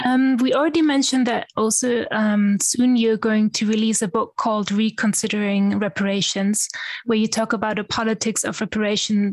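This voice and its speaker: A woman talks at a moderate pace with a fairly high pitch. Her intonation is fairly even, and her voice is somewhat breathy. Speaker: podcast host. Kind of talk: interview.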